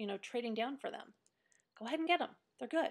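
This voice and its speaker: Her pitch high, a woman talks with ordinary pitch variation. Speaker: video blogger. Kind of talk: casual chat. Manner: hesitant, many fillers.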